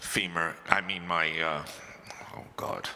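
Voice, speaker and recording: Noticeable background noise accompanies a man with an American accent. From New Jersey (Brick). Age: 60s. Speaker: panelist with muscular dystrophy. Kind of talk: panel discussion.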